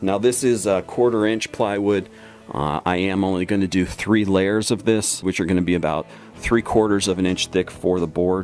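Faint music plays in the background as a man speaks at a fairly low pitch with fairly even intonation. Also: moderate pace. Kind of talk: tutorial. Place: workshop.

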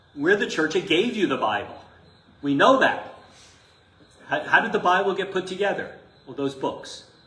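Big pitch swings and a bright, sharp tone, with audible room echo. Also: man, fairly high pitch for a man, moderate pace.

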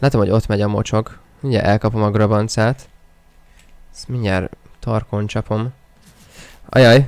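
Moderate pace with long, frequent pauses and big swings in loudness, in a dry sound with no echo. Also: man, fairly low pitch for a man. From Hungary. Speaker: gaming streamer. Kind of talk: live gaming stream commentary. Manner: animated. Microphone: new microphone; studio mic.

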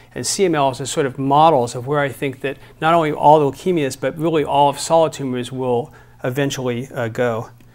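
The speaker is a man, talking at a fairly quick pace. His intonation stays fairly even. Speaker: physician lecturer. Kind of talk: lecture. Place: hall. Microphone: lapel.

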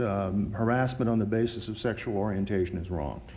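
A man speaks at a fairly quick pace. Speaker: attorney. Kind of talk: courtroom oral argument. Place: hall. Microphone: podium.

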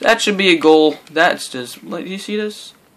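Speech comes at a moderate pace with ordinary pitch variation. Music plays in the background. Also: man. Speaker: gaming let's player. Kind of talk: gameplay commentary. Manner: casual, halting.

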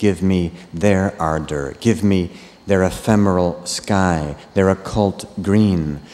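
Soft-spoken and very deep, a man talks at a very slow pace with fairly even intonation. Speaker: translator reading English versions. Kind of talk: poetry reading of English translations, then a brief spoken introduction. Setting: stage with audience, festival reading. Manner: soft, earnest, reverent; emotional, slow and prayer-like. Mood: calm, measured, lyrical. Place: stage. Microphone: studio mic.

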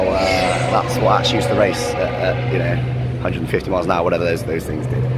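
This man's voice is dry with no echo, set against loud background noise. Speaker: fan vlogger. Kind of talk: casual vlog chat. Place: street. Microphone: phone near.

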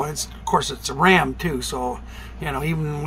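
Fairly quick delivery over light background noise. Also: man. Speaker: vlogger. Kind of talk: casual vlog chat. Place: home room. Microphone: phone near.

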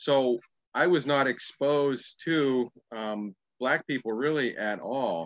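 With an American accent, a man talks at a very slow pace and medium pitch with ordinary pitch variation, in a dry sound with no echo against a quiet background. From US Midwest. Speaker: panel guest. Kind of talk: panel discussion. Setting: video call. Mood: reflective, candid. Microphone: video call.

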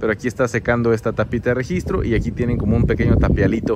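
A man talks at a fairly quick pace in a dry sound with no echo, with noticeable background noise. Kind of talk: site tour commentary. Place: street. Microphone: phone near.

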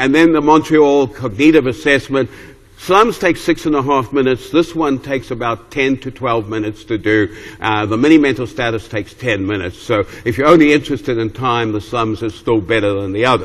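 The voice moves at a fairly quick pace with ordinary pitch variation against noticeable background noise. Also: man, medium pitch for a man. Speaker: geriatrics professor. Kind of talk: lecture. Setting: stage with audience.

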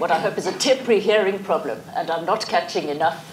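Over faint background noise, a woman with a fairly low pitch talks at a fast pace. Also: ordinary pitch variation.

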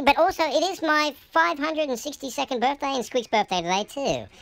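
A put-on character voice rattles along at a very fast pace. Its pitch swings very widely. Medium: role play. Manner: chatty, upbeat.

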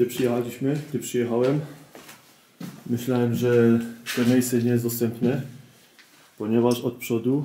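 A man speaks fairly slowly at a medium pitch, with monotone, flat intonation and long, frequent pauses. Noticeable background noise runs underneath. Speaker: urban explorer vlogger. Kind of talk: walkthrough vlog narration. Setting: abandoned building at night.

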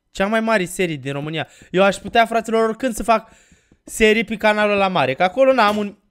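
A man speaks at a fairly quick pace with a high pitch and ordinary pitch variation. His tone is animated, over a quiet background. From Romania. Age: 20s. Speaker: gaming YouTuber; gaming streamer. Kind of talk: Let's Play commentary; casual gameplay commentary.

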